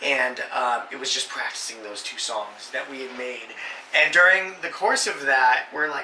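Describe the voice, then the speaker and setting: Amid noticeable background noise and audible room echo, a man with a fairly high pitch talks at a moderate pace with lively intonation. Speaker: gaming channel host. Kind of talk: casual chat. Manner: animated.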